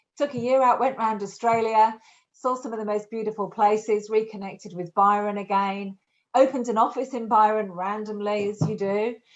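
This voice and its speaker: Music plays in the background as a woman speaks at a fairly quick pace. Her voice is fairly high-pitched, with fairly even intonation. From Yorkshire, northern England. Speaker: recruitment business owner. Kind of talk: podcast interview.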